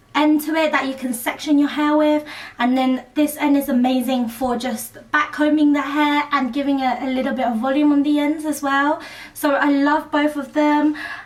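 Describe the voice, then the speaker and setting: Her pitch high and her intonation monotone and flat, a woman talks with a British accent. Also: moderate pace. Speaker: beauty vlogger. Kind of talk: tutorial.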